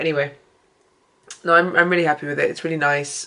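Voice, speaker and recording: A woman speaks with a British accent. Her intonation is flat and monotone. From UK. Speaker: artist vlogger. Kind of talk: casual vlog talk. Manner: hesitant, many fillers.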